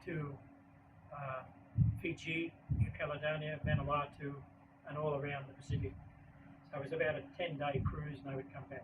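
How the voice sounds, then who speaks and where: A man with an Australian accent, fairly high in pitch and fairly even in intonation, amid audible room echo and noticeable background noise. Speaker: baking educator and author. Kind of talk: book talk presentation. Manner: fast.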